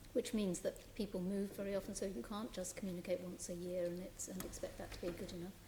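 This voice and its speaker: Soft-spoken with a British accent, a woman of medium pitch talks at a very fast pace with hardly any pauses and fairly even intonation, over noticeable background noise. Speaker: nominee at a public confirmation hearing. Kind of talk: formal hearing answers. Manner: hesitant, many fillers.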